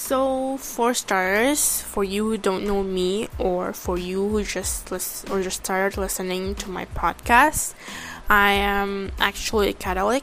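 With an Indonesian accent, a woman speaks at a fairly slow pace and a medium pitch, showing ordinary pitch variation. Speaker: podcaster. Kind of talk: casual monologue. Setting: home recording. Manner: halting; filler-heavy.

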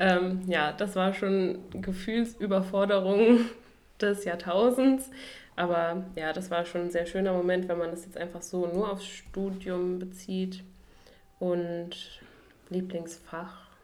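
A woman speaks at a very slow pace with a medium pitch and fairly even intonation. Audible room echo surrounds her voice. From western Germany, Duisburg (Ruhr area). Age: 20s. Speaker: medical student, podcast co-host. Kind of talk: casual chat.

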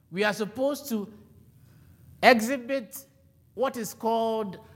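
A man speaks at a high pitch and a fairly slow pace. Room echo is audible. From Ghana. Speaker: preacher. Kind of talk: sermon.

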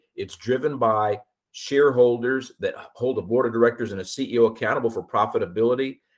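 With an American accent, a man talks in a normal speaking voice at medium pitch and a fairly quick pace. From Austin, Texas. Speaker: insurance broker. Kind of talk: interview. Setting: remote call.

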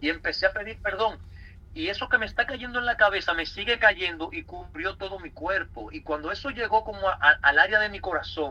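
A man speaks in a raised, projected voice with lively intonation. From Dominican Republic, Santo Domingo. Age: 30s. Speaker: church member giving testimony. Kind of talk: testimony.

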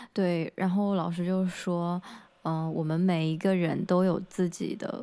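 A woman with a dark, mellow tone talks fairly slowly, her intonation fairly even. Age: 20s. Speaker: podcast co-host, recent master's graduate. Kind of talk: casual chat.

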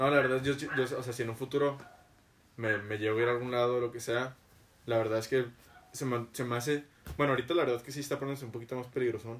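Very fast in pace yet marked by long, frequent pauses, a man speaks in a medium pitch with monotone, flat intonation. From Mexico. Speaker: podcast host. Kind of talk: casual chat. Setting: studio.

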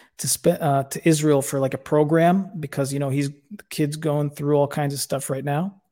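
A man with an ordinary speaking voice, pitched fairly high. The recording is very clean, with a silent background. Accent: American. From United States. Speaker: war veteran. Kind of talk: casual chat.

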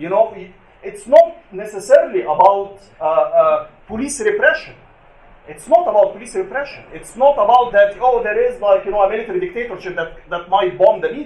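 A man with an Arabic accent talks in a high voice at a moderate pace, his intonation lively and his loudness swinging widely. Noticeable background noise can be heard. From Egypt. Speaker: activist and journalist. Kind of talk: panel talk. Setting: stage with audience.

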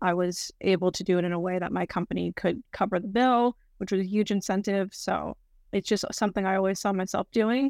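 A woman with an American accent talks fairly quickly at medium pitch in a plain, everyday voice, her intonation fairly even, on a very clean recording with a silent background and a dry, close sound with no echo. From US South, North Carolina. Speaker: sustainability analyst. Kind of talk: casual interview.

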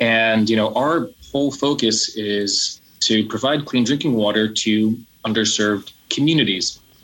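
In an American accent, a plain, everyday voice moves at a fairly slow pace with ordinary pitch variation. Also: man. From New Jersey, US. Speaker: nonprofit founder. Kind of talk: interview.

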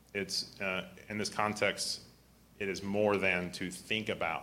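A man's fairly low-pitched voice, bright and sharp in tone, with audible room echo. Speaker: preacher / Bible teacher. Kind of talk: sermon. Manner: halting, repetitive.

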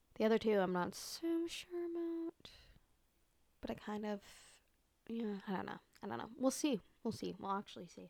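With very wide pitch swings and big swings in loudness, a woman at a fairly high pitch talks at a moderate pace, leaving long, frequent pauses. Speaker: podcast host. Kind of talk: casual solo monologue. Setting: home recording with microphone. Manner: animated.

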